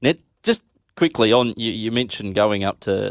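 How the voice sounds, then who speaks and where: In an Australian accent, a man speaks at a moderate pace with fairly even intonation, the sound dry and close with no echo. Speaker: radio host. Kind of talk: radio show presenting. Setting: studio.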